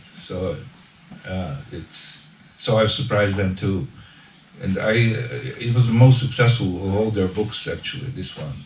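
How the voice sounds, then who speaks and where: A man with a Serbian accent at a fairly slow pace, amid audible room echo and noticeable background noise. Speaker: author. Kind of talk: book launch talk. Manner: halting.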